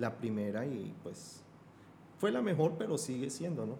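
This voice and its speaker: A man talks at a moderate pace with ordinary pitch variation. The recording has audible room echo and noticeable background noise. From Colombia, Bogotá. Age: 50s. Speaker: Islamic affairs expert. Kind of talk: podcast interview.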